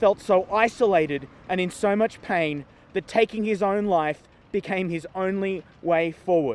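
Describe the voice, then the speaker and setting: A man's high-pitched voice with an Australian accent and ordinary pitch variation. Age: 40s. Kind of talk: prepared speech.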